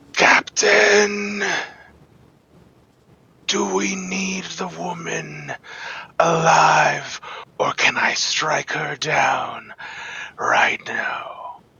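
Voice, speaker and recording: Putting on a character voice, a man speaks loudly and very slowly in a high pitch. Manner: booming, shouting.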